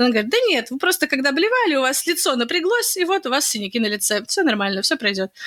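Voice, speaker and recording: A high-pitched woman's voice at a very fast pace, very wide pitch swings, very even loudness and hardly any pauses. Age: 20s. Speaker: podcast co-host, pregnant woman. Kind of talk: casual chat. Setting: remote call between cities.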